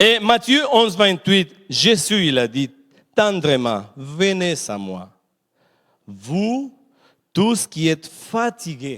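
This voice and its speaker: With a non-native accent, a man speaks at a very slow pace in a high pitch, with very wide pitch swings and long, frequent pauses. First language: not French (speaking French). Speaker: preacher. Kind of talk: sermon. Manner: animated; repetitive, halting.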